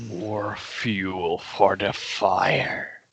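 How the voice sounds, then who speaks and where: A man's rumbling put-on character voice, fairly low in pitch. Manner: menacing.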